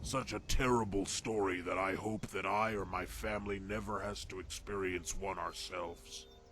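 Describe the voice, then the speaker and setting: Over clear background noise, a man puts on a character voice at a fairly low pitch, moving at a moderate pace with hardly any pauses. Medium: video game.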